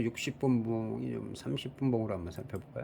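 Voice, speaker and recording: The man's pitch swings very widely as he speaks in a somewhat breathy way. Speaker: stock market commentator. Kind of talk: market analysis talk. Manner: fast.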